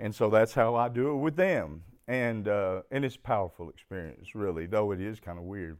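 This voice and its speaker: A man with an Arkansas accent speaks at a moderate pace in a fairly low pitch, with lively intonation and hardly any pauses. The recording is very clean with a silent background. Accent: Southern US (Arkansas). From US South, Arkansas. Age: 50s. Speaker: recovering alcoholic speaker. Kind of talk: testimony. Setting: stage with audience.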